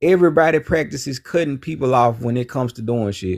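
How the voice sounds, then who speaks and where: In a very clean recording with a silent background, a man speaks with a Southern US accent. His pitch is fairly high with ordinary variation, and his pace is fairly quick. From US South, Memphis Tennessee. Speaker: caller. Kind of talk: heated debate.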